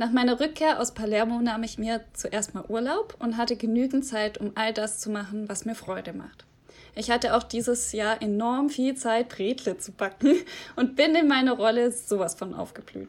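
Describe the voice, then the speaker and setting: This is a woman with an unremarkable speaking voice. She talks at a moderate pace with ordinary pitch variation. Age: 20s. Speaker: podcast host, former volunteer abroad. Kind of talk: scripted intro; casual interview.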